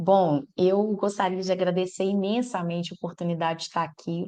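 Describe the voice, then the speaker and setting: Fairly even intonation from a woman, medium in pitch, at a moderate pace. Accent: strong Minas Gerais. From Minas Gerais, Brazil. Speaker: electoral law professor. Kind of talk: podcast interview.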